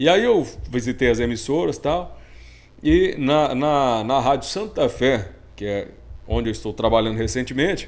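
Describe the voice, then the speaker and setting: There's vocal fry in this man's medium-pitched voice. He speaks at a moderate pace with lively intonation. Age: young. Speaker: rodeo announcer and radio broadcaster. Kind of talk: casual interview chat.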